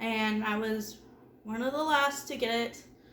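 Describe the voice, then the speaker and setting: A high-pitched woman's voice with fairly even intonation and audible room echo. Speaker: home organizing vlogger. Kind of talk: casual vlog talk. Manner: conversational, with filler words.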